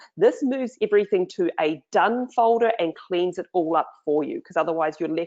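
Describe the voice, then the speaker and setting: A woman with a New Zealand accent has a fairly low pitch and ordinary pitch variation. She speaks at a moderate pace. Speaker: online marketing trainer. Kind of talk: screen-share tutorial. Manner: casual, many fillers.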